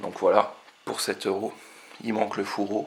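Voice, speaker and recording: A man speaks quietly, with noticeable background noise behind him. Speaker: retro game collector. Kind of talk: casual talk to camera. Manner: quiet, low voice.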